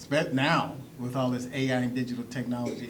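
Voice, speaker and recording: A man speaks at a fairly quick pace, with audible room echo and noticeable background noise around him. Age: 60s. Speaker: youth program founder. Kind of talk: panel discussion. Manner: loud.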